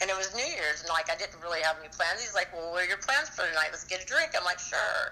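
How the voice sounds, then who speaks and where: Over noticeable background noise, a woman talks at a very fast pace with hardly any pauses. Her medium-pitched voice has lively intonation and big swings in loudness. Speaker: caller. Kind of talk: casual call-in chat.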